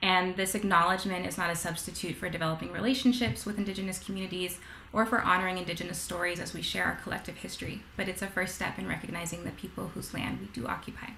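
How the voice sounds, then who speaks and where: A woman talking at a very fast pace with hardly any pauses, audible room echo and light background noise. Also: ordinary pitch variation. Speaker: webinar host for heritage organization. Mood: warm, grateful.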